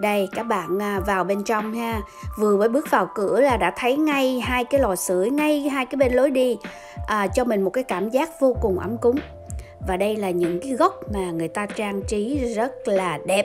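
The speech moves at a fairly slow pace. Music plays clearly in the background. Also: woman. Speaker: vlogger. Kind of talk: casual vlog narration. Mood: cheerful, admiring. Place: bar. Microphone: phone near.

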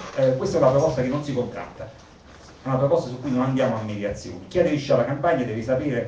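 Lively intonation from a man against noticeable background noise. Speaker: campaign organizer. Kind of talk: public assembly speech. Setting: meeting hall with audience.

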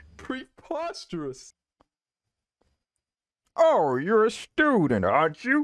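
A put-on character voice, croaky and fairly high-pitched, moves at a very slow pace with long, frequent pauses.

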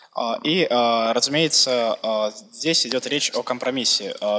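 A man speaks at medium pitch with ordinary pitch variation amid noticeable background noise. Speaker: Russian interpreter. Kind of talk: simultaneous interpretation of a presentation. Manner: hesitant, filler words.

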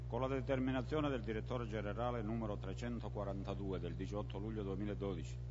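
A man talks with a very deep, low pitch and vocal fry. Background noise is noticeable. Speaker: council member reading a report. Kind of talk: formal reading of an official text. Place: hall. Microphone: podium.

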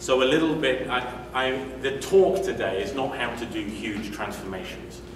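A man with a British accent speaks at medium pitch and a moderate pace, his intonation lively. Audible room echo and noticeable background noise fill the recording. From UK. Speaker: agile coach and conference speaker. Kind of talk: conference talk. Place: meeting room. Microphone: camera far.

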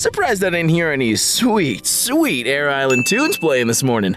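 A man uses a cartoonish character voice, fairly high in pitch with a fairly bright tone and very wide pitch swings. He talks at a fairly slow pace while faint music plays in the background.

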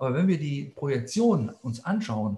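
The man's voice is dark and mellow, and somewhat breathy. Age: 60s. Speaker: plant scientist; scientist lecturer. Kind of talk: lecture. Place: office. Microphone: webcam.

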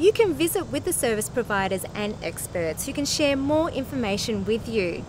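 Very wide pitch swings in a dry sound with no echo, over noticeable background noise. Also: woman. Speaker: museum community and access programs manager. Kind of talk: event invitation to camera. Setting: outdoors. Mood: warm, welcoming. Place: garden.

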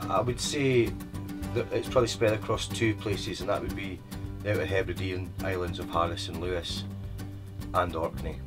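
There is clear music behind a man with an eastern Scottish accent. He talks at a fairly quick pace. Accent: east coast Scottish. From Scotland, east coast. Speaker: tour guide. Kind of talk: interview answer. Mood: warm, storytelling, smiling. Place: car.

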